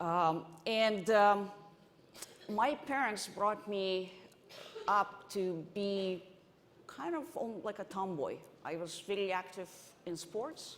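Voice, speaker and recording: Audible room echo surrounds the voice. Its pitch variation is ordinary. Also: woman. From Ukraine, Odessa. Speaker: venture investor, conference panelist. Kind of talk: panel discussion. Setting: stage with audience. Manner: halting, many restarts.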